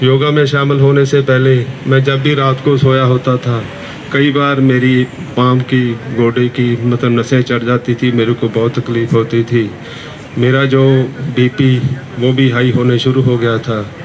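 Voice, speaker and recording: Over noticeable background noise, a man speaks at a medium pitch in a flat monotone with very even loudness. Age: 70s. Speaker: yoga class participant. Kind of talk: testimony.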